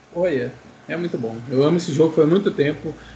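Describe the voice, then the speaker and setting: A man speaks with a high pitch. There is noticeable background noise. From Brazil, Maringá, Paraná. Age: 20s. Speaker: game streamer. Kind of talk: casual chat.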